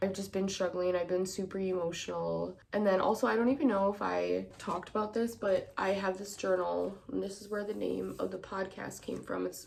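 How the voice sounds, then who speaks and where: With an American accent, a woman talks at a fairly quick pace against noticeable background noise. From Wisconsin, Milwaukee. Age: 20s. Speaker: podcast host. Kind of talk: personal monologue.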